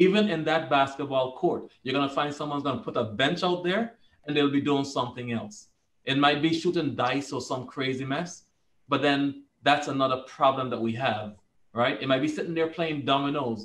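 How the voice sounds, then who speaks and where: A man speaks with a Virgin Islands accent. His pace is moderate. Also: ordinary pitch variation. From US Virgin Islands, St. Thomas; US Virgin Islands. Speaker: police commissioner; panelist. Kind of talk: panel discussion. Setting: video call. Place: office. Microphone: video call.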